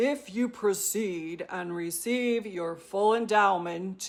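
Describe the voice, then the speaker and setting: A booming, put-on character voice speaks at a fairly slow pace. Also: woman. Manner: authoritative, solemn.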